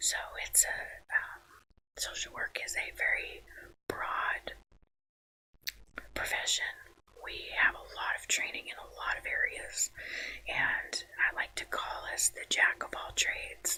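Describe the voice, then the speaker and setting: Whispering in a relaxed, calm tone, a man speaks at a fairly slow pace with long, frequent pauses and big swings in loudness. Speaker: social worker, ASMR channel host. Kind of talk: ASMR introduction talking to camera. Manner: relaxed, calm, conversational.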